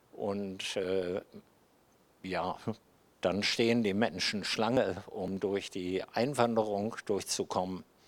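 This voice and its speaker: Long, frequent pauses break up this man's very slow speech. His pitch is fairly low and his intonation fairly even. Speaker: guest preacher. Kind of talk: sermon.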